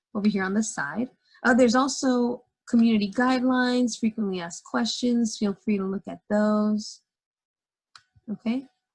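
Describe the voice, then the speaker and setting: A woman's somewhat breathy voice of fairly high pitch and ordinary pitch variation, with a dry, close sound and no echo. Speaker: teacher. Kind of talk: tutorial. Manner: fast.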